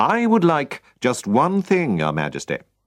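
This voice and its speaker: A man's put-on character voice, fairly high in pitch and strained, at a moderate pace. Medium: read story. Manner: cold, restrained.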